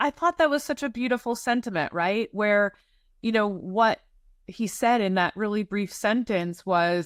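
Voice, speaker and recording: In a normal speaking voice, a woman speaks at a moderate pace, fairly high in pitch, with lively intonation. The sound is dry and close with no echo, in a very clean recording with a silent background. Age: 40s. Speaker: podcast host, estate planning lawyer. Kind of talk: podcast interview.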